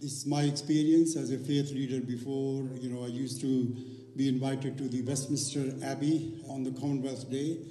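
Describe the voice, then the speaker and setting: Audible room echo and light background noise surround this man's voice. He speaks at a moderate pace. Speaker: event host or organiser. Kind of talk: speech to audience. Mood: warm, celebratory. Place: stage. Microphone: handheld.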